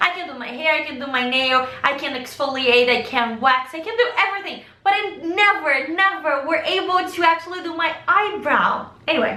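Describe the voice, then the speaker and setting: Projecting a raised voice at an extremely high pitch, a woman speaks at a moderate pace with lively intonation and big swings in loudness, amid noticeable background noise and audible room echo. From Brazil. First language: Portuguese. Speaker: vlogger. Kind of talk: casual chat.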